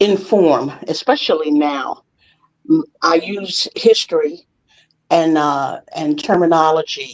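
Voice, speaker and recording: The speaker talks at a very slow pace with ordinary pitch variation. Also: woman. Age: 70s. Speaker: retired educator and writer. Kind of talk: casual chat. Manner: halting.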